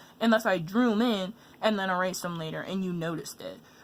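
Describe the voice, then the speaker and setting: A woman's voice at a fairly quick pace. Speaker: art tutorial youtuber. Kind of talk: tutorial. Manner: halting; fast.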